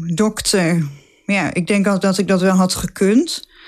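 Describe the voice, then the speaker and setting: This is a woman with a medium pitch. Her intonation stays fairly even. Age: 20s. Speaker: nurse. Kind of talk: casual interview.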